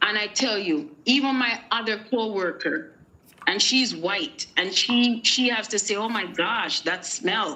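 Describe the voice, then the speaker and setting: A woman with a Jamaican accent, fairly high-pitched and bright, sharp in tone, at a fairly slow pace with lively intonation. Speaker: guest on a live show. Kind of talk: casual chat. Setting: live stream.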